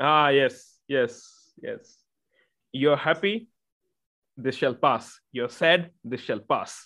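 Against a quiet background, a man with an Indian accent talks at a very slow pace, leaving long, frequent pauses, his fairly high voice bright and sharp in tone. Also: ordinary pitch variation. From Northeast India. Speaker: podcast host. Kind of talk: podcast interview. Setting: remote call.

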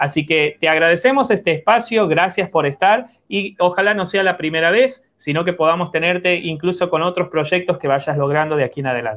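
A high-pitched man at a fairly quick pace, hardly any pauses, with ordinary pitch variation. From Argentina. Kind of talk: radio interview.

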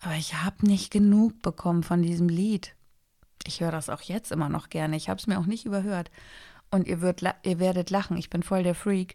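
A woman of medium pitch talks at a fairly quick pace with a calm, dark, mellow tone. Her intonation is fairly even, and the recording is very clean with a silent background. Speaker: podcast host. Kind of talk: casual solo monologue.

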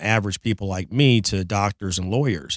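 An ordinary speaking voice from a man with an American accent, fairly quick in pace, on a very clean recording with a silent background. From Detroit, Michigan. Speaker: car dealer. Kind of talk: casual chat. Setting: studio.

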